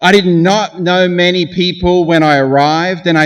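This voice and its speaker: A fairly slow pace with ordinary pitch variation. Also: man. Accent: Australian. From Australia. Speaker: graduation speaker. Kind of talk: commencement speech.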